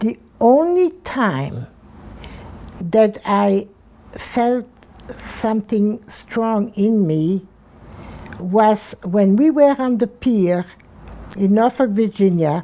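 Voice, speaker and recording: A woman's fairly high voice with a dark, mellow tone, lively intonation, a very slow pace, and long, frequent pauses. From Belgium. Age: 90s. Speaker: Holocaust survivor. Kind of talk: oral history interview. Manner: halting, many repetitions.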